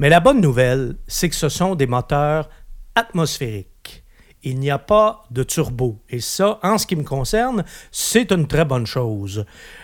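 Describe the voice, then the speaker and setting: A man in a Quebec accent, fairly high in pitch with very wide pitch swings, at a fairly slow pace, on a very clean recording with a silent background. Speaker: automotive journalist. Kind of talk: casual car review discussion.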